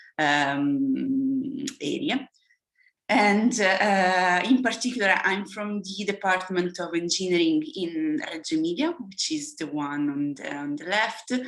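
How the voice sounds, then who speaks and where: A woman talks at a very slow pace, her medium pitch swinging very widely. The room echo is audible. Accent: Italian. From Italy. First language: Italian. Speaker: engineering professor. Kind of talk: lecture. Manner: halting.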